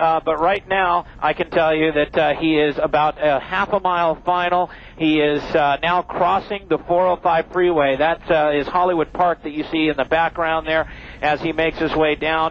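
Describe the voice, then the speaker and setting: Dry, echo-free sound with light background noise and a moderate pace. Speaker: helicopter news reporter. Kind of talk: live news commentary. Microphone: headset.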